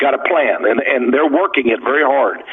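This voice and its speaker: This man speaks fairly quickly. Behind him, background noise is noticeable. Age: 70s. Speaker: author and radio guest. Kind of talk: radio interview. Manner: halting, many repetitions.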